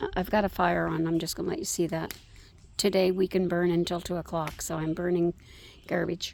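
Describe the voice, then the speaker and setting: At a fairly quick pace, a woman speaks with a fairly low pitch, monotone, flat intonation and vocal fry. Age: 70s. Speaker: personal vlogger. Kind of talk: personal reflection monologue. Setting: outdoors by a fire. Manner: halting, many fillers.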